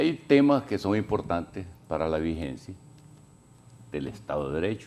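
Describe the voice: With a low pitch and vocal fry, a man speaks at a moderate pace. His tone is slightly mellow, and his pitch swings a lot.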